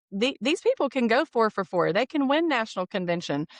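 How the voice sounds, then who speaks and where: The sound is dry and close with no echo, over a quiet background. A woman with a fairly high pitch talks at a moderate pace, her voice swinging very widely in pitch. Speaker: insurance sales regional leader. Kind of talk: podcast interview.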